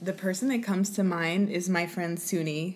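A woman speaks in a plain, everyday voice with an American accent. Her pitch sits fairly low and her pace is moderate. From Oklahoma, Lawton. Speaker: Broadway performer. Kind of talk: casual interview.

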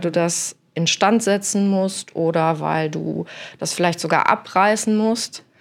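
With fairly even intonation, the woman talks at a fairly slow pace. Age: 40s. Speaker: architect. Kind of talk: interview. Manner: hesitant, many fillers.

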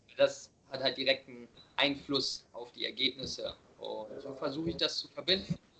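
A man's loudness swings widely as he talks at a moderate speed. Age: 20s. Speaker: vegan nutrition coach and podcaster. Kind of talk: casual interview chat. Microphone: occasionally bad connection.

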